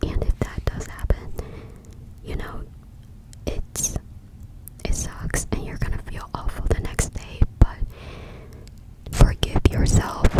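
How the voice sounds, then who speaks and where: Amid noticeable background noise, a woman whispers in a breathy voice at a very slow pace, with long, frequent pauses and big swings in loudness. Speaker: ASMR creator. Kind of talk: ASMR talk to camera. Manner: breathy, whispering, close-up.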